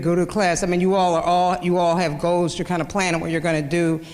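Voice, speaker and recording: Amid audible room echo, a woman with a Kansas accent and a fairly low pitch talks at a fairly quick pace. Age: 50s. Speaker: journalist. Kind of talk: lecture. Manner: halting.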